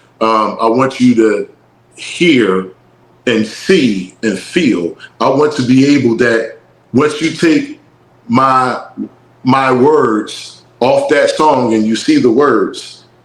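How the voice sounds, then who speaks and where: Speaking at a very slow pace in a Philadelphia accent, a man holds a medium pitch with ordinary pitch variation and very even loudness. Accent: Philadelphia, when talking. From North Philadelphia, US. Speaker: rapper and musician. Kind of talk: casual interview chat.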